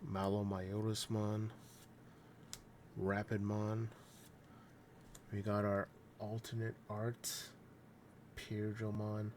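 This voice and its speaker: The speech moves at a very slow pace, with long, frequent pauses and a monotone, flat intonation. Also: man. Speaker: card opening youtuber. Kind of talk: casual box opening commentary. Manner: uses filler words.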